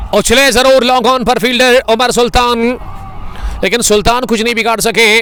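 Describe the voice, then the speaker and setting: A man's raised, projected voice at an extremely high pitch holds very even loudness while music plays in the background. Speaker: cricket commentator. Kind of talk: live commentary. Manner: animated.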